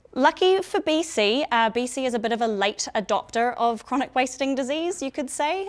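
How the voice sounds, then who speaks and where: With a New Zealand accent, a woman talks at a moderate pace using lively intonation. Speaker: biosecurity and emergency management consultant. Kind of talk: presentation to public audience. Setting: public information session in a room with audience.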